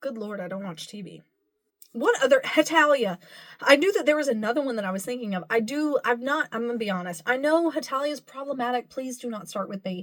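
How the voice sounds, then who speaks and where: Very fast and high-pitched, a woman speaks in an American accent with lively intonation and big swings in loudness. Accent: Southern, stronger when talking about home. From US South. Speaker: cosplayer and content creator. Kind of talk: casual chat. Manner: rambling with many fillers and false starts.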